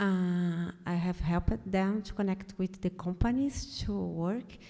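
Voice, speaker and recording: Very slow, fairly even speech from a woman with a dark, mellow tone. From Brazil. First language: Portuguese. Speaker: refugee volunteer, audience member. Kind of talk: audience question. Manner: halting.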